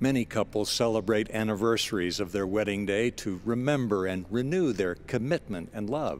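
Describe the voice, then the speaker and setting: A man with an ordinary speaking voice, fairly low in pitch, with hardly any pauses. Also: ordinary pitch variation. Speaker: spoken-word broadcaster. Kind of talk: scripted inspirational spoken-word essay, read aloud. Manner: formal, warm and measured, unhurried and sincere; gentle, reflective, soothing cadence.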